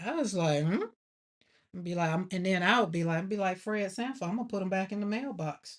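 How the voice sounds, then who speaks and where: Speaking at a fairly quick pace, a woman uses medium pitch with ordinary pitch variation. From Alabama, US South. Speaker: artist and grief livestreamer. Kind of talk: casual livestream chat while painting. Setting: home art studio livestream. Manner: animated.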